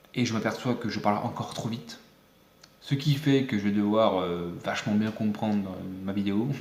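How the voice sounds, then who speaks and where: A man talks with a fairly low pitch. His pitch varies in an ordinary way. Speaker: YouTuber, music maker. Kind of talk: casual vlog talk. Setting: close to camera, home video. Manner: fast; hesitant, many fillers.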